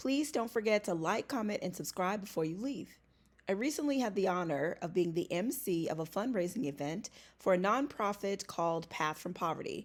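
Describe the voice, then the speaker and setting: A woman speaks in an ordinary speaking voice at a moderate pace, her medium pitch moving with lively intonation, on a very clean recording with a silent background. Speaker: vlogger and event emcee. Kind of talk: casual vlog.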